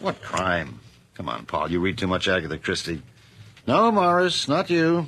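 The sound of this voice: A man does a put-on character voice at a low pitch with big pitch swings. The tone is fairly bright and the pace moderate.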